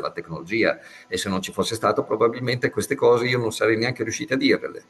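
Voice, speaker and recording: A man is talking, and background noise can clearly be heard. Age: 60s. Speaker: physicist and professor. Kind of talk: interview.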